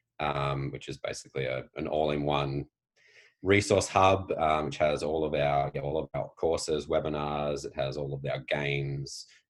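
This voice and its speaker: A man with an Australian accent speaks at a moderate pace in a very deep, low pitch, with vocal fry and fairly even intonation. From Australia, Tasmania. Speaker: PE teacher and educator. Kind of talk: interview conversation. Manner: frequent fillers, hesitant.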